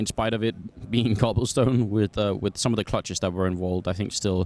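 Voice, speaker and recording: Speaking with a British accent, a man uses a fairly low pitch and ordinary pitch variation. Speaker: esports caster. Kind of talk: casual interview. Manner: hesitant, many fillers.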